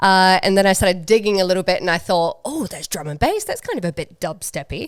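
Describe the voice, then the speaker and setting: A woman speaks at a very fast pace, her medium pitch showing ordinary variation. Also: very clean recording, silent background. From New Zealand. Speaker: DJ and music producer. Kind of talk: podcast interview. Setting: studio with door open.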